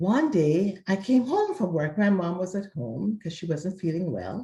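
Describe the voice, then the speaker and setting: A somewhat breathy woman's voice with a dark, mellow tone, very wide pitch swings, a fairly slow pace and a slight Jamaican accent. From Jamaica (Mandeville, Kingston area). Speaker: interviewee sharing life story. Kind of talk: interview, personal testimony.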